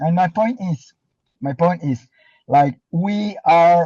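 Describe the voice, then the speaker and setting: A man with a non-native accent and a fairly high pitch speaks at a very slow pace, his dark, mellow tone showing ordinary pitch variation in a dry, close sound with no echo. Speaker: distributor. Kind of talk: motivational testimony. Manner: halting, many repetitions.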